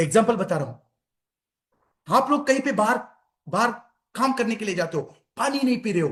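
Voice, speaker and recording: An animated man's voice at an extremely high pitch. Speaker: health and wellness speaker. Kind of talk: health talk to online audience. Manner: repetitive, animated.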